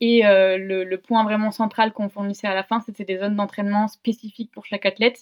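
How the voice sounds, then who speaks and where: A woman at a medium pitch, in a flat monotone, at a fairly quick pace with hardly any pauses and big swings in loudness. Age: 20s. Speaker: sports science start-up co-founder. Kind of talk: casual interview.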